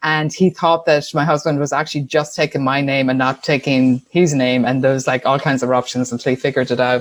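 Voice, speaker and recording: In an Irish accent, a woman speaks with a very deep, low pitch. Her intonation stays fairly even. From Ireland, Tuam, County Galway. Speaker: business owner. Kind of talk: interview.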